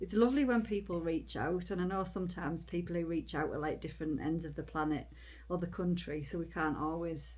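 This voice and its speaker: Audible room echo follows a woman who talks at a fairly quick pace. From Britain. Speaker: long-distance hiker and vlogger. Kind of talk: casual chat. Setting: indoors in a cabin.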